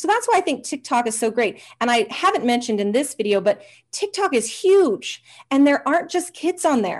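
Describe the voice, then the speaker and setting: A woman speaks in an energetic, enthusiastic tone with very wide pitch swings. The background is quiet. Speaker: hypnotherapist, interview guest. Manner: fast talker.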